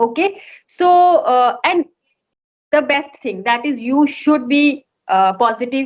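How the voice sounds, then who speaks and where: A woman with an Indian accent speaks at a high pitch with lively intonation. Her pace is very slow, broken by long, frequent pauses. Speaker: English conversation trainer. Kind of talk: conversation practice session.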